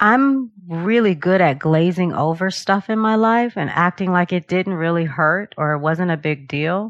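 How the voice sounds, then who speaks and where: In a dry, close sound with no echo, a woman with a plain, everyday voice and a fairly low pitch speaks at a fairly slow pace with ordinary pitch variation and hardly any pauses. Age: 50s. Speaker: meditation and yoga teacher. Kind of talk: interview.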